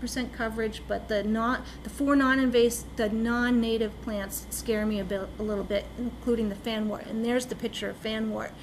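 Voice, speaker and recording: With audible room echo and noticeable background noise, a woman speaks at a moderate pace in a fairly high pitch with fairly even intonation. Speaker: lake management consultant. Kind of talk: presentation to town council. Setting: town council meeting.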